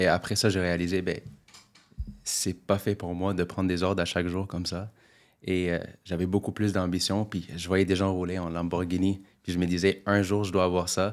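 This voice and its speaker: On a very clean recording with a silent background, a man speaks at a moderate pace in a very deep, low pitch, his intonation monotone and flat. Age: 20s. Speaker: real estate investor. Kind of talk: interview. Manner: casual.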